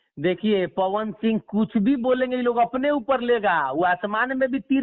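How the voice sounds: Speaking at a moderate pace, a man uses an extremely high pitch with ordinary pitch variation.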